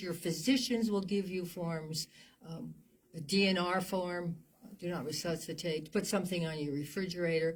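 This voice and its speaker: The speech proceeds at a middling speed. A slight breathiness runs through it. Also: woman. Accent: American. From New Jersey. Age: 80s+. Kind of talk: interview. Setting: studio.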